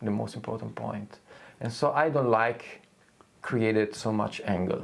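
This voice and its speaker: A man with a non-native accent, fairly low pitch, fairly even intonation and a moderate pace. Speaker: guitar maker. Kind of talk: casual chat. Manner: halting.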